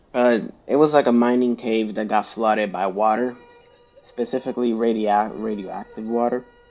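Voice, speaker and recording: With a non-native accent, a man speaks in fairly even intonation while music plays in the background. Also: medium pitch for a man, moderate pace. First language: not English. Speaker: gaming YouTuber. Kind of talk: casual video game review. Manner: halting, with many fillers and restarts.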